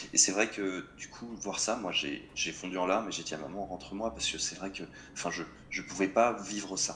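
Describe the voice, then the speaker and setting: A man with an ordinary speaking voice, fairly low in pitch, at a moderate pace with ordinary pitch variation. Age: 20s. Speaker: motorcyclist sharing accident story. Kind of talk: casual chat.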